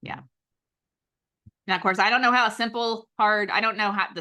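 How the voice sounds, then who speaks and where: Against a quiet background, a woman with an Oklahoma accent speaks at a fairly quick pace in a bright, sharp tone. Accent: Oklahoma twang. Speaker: astrologer. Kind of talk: casual discussion.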